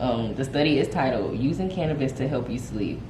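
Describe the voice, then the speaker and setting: Over noticeable background noise and audible room echo, a woman speaks in a very deep, low pitch. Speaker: cannabis vlogger. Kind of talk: casual explainer reading study excerpts. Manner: fast.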